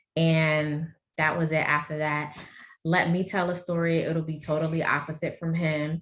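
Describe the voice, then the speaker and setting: With a New Orleans accent, a woman speaks at a moderate pace in a very deep, low pitch with monotone, flat intonation. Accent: heavy New Orleans. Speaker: endometriosis advocate and guest. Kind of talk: panel discussion introduction.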